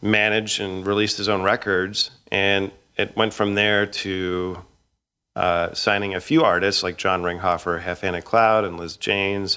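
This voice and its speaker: A man with a western Canadian accent, a fairly low pitch and a bright, sharp tone talks at a fairly slow pace with ordinary pitch variation, on a very clean recording with a silent background. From Canada (Edmonton, Alberta). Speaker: record label director. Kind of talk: casual interview.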